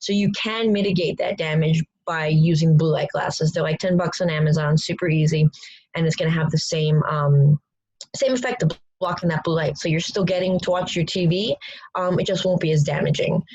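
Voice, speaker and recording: A woman speaks at a fairly quick pace in a fairly low, somewhat breathy voice. Her pitch varies in an ordinary way. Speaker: strength coach. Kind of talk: online coaching presentation. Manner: fast.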